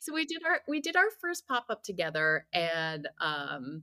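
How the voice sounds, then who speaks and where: With an American accent, a woman speaks at a fairly slow pace in a fairly high pitch, her bright, sharp tone moving through very wide pitch swings in a dry, close sound with no echo. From New Jersey, US. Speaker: food writer and editor. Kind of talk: interview.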